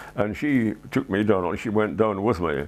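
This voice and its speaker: A man with a Scottish accent. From Edinburgh, Scotland. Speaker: war veteran, retired loss adjuster. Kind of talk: interview answer. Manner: hesitant, reflective.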